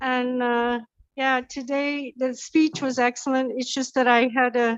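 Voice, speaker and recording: A woman speaks fairly slowly in a high pitch against a quiet background. Her intonation stays monotone and flat. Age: 60s. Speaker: trainer and coach. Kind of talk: casual chat. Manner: halting. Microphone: bad connection, cutting out.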